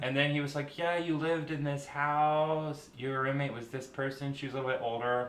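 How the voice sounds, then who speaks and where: A man speaks at a fairly quick pace with hardly any pauses in a monotone, flat intonation over noticeable background noise. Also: fairly high pitch for a man. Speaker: hairdresser and aerialist. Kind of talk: casual chat, storytelling.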